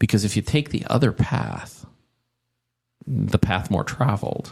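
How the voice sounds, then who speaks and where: Speaking at a fairly slow pace, a man with a fairly low pitch and vocal fry uses lively intonation. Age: 60s. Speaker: tech industry veteran. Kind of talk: casual interview chat. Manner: animated, many repetitions and fillers.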